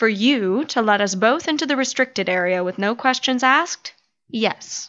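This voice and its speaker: With lively intonation and a fairly high pitch, a woman talks in a plain, everyday voice. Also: moderate pace. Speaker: voice actor. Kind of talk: audio drama performance.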